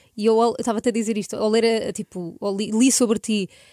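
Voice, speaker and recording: A woman with a fairly high pitch and a dark, mellow tone speaks with fairly even intonation in a dry, close recording with no echo, very clean and against a silent background. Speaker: podcast host. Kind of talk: casual interview.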